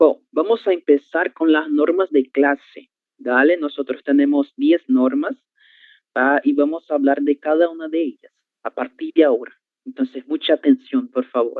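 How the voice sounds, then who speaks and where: A man's fairly high voice, an unremarkable speaking voice with lively intonation at a moderate pace. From Brazil. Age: 20s. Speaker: Portuguese teacher. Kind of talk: online class. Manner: clear, didactic.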